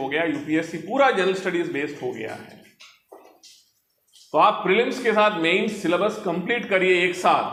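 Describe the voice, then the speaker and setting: Audible room echo surrounds a man speaking with a high pitch. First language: Telugu (speaking Hindi). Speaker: senior civil servant. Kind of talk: motivational talk to students. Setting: library hall with student audience.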